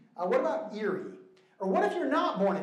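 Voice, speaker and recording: Audible room echo surrounds the voice of a man. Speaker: church minister teaching a class. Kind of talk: lecture. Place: hall.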